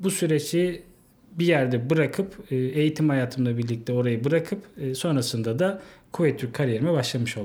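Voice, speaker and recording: This is a man with a fairly high pitch. His tone is dark and mellow. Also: ordinary pitch variation, moderate pace. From Turkey, Yalova. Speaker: bank sales manager. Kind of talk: interview. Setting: studio.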